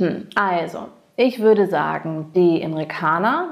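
A woman with an English accent speaks at a medium pitch with ordinary pitch variation. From US, Massachusetts (Cape Cod). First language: English (speaking German). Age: 40s. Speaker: interview guest. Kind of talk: casual interview.

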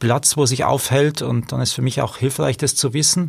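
Somewhat breathy, a man at medium pitch talks at a fairly quick pace with fairly even intonation. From Regensburg, Bavaria. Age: 40s. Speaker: street social worker. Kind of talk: interview.

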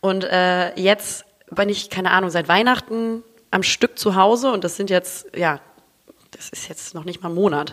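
A woman speaks with ordinary pitch variation and big swings in loudness. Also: medium pitch for a woman, fairly slow pace. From Hamburg, northern Germany. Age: 30s. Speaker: content creator and podcaster. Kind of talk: casual chat. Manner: animated.

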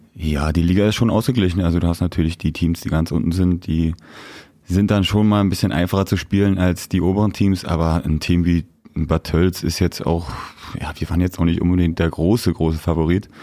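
Fairly quick and fairly even in intonation, a man speaks with a very deep, low pitch and a dark, mellow tone. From Rhineland, western Germany (Siegburg/Cologne area). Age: 20s. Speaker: ice hockey player. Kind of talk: casual interview.

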